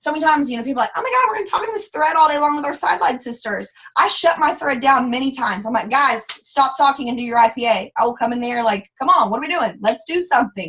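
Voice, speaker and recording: Speech in an American accent comes at a very fast pace with hardly any pauses. The intonation is lively. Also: woman, high pitch for a woman. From US South. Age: 20s. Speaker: network marketing leader. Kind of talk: live training call. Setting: conference call. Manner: animated.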